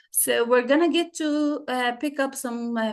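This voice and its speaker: Her voice is high in pitch. The woman speaks at a moderate pace against a quiet background. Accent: Arabic. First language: Arabic. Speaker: English teacher. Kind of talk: lecture. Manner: halting.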